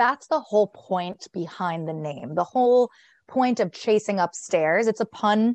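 A woman with an American accent speaks at a moderate pace with ordinary pitch variation. The sound is dry and close with no echo over a quiet background. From New Jersey (Fairfield). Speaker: podcast host, sports media worker. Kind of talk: casual chat.

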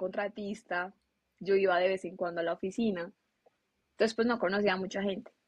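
Moderate pace and fairly even intonation. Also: woman. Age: 20s. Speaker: business administrator. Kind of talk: interview.

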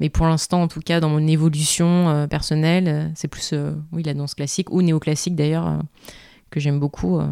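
With a very deep, low pitch and a dark, mellow tone, a woman speaks at a moderate pace with fairly even intonation. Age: 20s. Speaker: ballet dancer. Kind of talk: casual interview.

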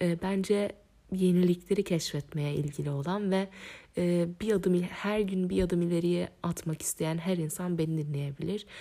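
Dark and mellow, a woman's fairly low voice moves at a fairly slow pace with fairly even intonation. The recording is very clean with a silent background. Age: 20s. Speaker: podcast host. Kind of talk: solo podcast monologue. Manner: hesitant, with frequent fillers.

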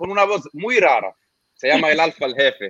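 A man with an Arabic accent is heard in a dry, close recording with no echo. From Lebanon. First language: Arabic (speaking Spanish). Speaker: YouTuber reacting to Latin urban music. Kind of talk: casual interview. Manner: halting.

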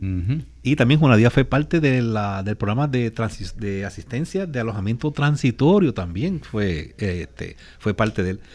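Here is a man with a plain, everyday voice, medium in pitch. He talks at a moderate pace with lively intonation. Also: very clean recording, silent background. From Puerto Rico (Aguadilla). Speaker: disaster agency spokesperson. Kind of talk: radio interview.

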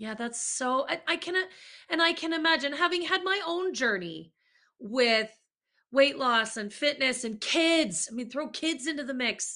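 A woman's raised, projected voice, high-pitched with a bright, sharp tone, at a moderate pace. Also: lively intonation. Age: 40s. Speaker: podcast host, leadership coach. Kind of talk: casual interview chat.

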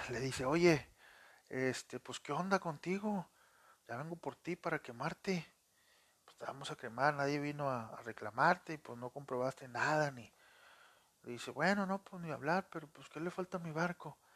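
A man with an unremarkable speaking voice, a fairly high pitch and ordinary pitch variation talks at a moderate pace with big swings in loudness, in a dry, close sound with no echo. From Monterrey, Nuevo León, northern Mexico. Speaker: podcast storyteller and phone screen repairer. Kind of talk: casual storytelling. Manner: conversational, many fillers.

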